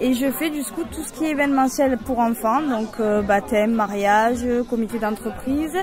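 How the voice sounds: Over clear background noise and clear crowd noise, a woman speaks at a moderate pace with a fairly high pitch and ordinary pitch variation.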